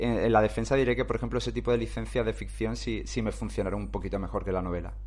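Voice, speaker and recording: Speech tumbles out of a man very rapidly. The room adds an audible echo. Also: hardly any pauses. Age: 40s. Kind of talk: casual chat.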